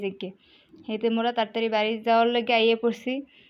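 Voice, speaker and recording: A woman in a Barisal accent speaks with a fairly high pitch and monotone, flat intonation. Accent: Barisal regional dialect. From Barisal, Bangladesh. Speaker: lifestyle vlogger. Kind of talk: casual travel vlog narration. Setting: outdoors by a river, travelling.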